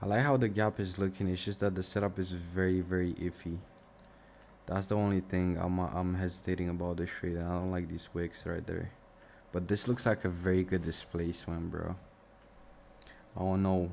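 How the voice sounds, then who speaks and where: With a slight Romanian accent, a man speaks in a very deep, low voice with monotone, flat intonation at a moderate pace, broken by long, frequent pauses. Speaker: forex trading streamer. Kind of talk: live stream commentary. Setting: live stream. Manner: casual, thinking aloud.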